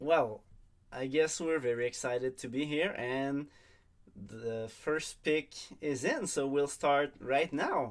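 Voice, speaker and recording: Speech comes at a very slow pace with long, frequent pauses in a strong French accent. The recording is very clean, with a silent background. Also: man. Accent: thick French. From Quebec. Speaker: online league draft host. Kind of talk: livestream commentary.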